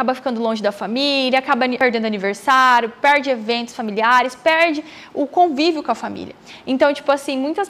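Her pitch is high for a woman, and her pitch varies in an ordinary way. The woman speaks at a fairly quick pace. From Brazil, Mato Grosso interior. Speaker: medical student and YouTuber. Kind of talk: casual vlog Q&A. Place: home room. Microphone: lapel.

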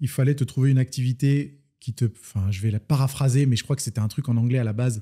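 Against a quiet background, a man talks in a dark, mellow tone at medium pitch, sounding somewhat breathy. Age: 30s. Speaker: fitness coach and entrepreneur; fitness coach. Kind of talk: casual interview. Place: home room. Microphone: studio mic.

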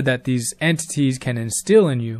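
A man talks at a moderate pace with ordinary pitch variation. The recording is very clean, with a silent background. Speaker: storyteller and musician. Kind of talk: personal testimony. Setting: self-recorded audio. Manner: articulate.

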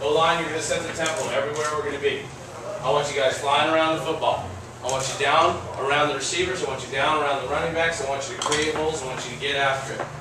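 A man with a fairly high pitch talks at a very fast pace in a flat monotone, with noticeable background noise and audible room echo. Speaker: college football head coach. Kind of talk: locker room pep talk to team.

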